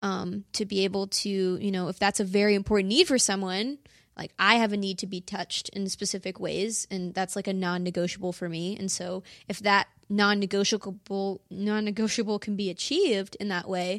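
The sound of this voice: Recorded very cleanly against a silent background, a woman speaks at a medium pitch and a moderate pace. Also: fairly even intonation.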